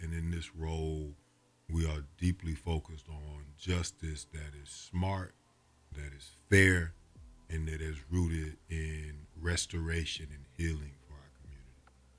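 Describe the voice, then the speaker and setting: Somewhat breathy and very deep, a man's voice moves at a fairly slow pace with flat, monotone intonation and big swings in loudness. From Atlanta. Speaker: prosecutor. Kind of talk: interview answer.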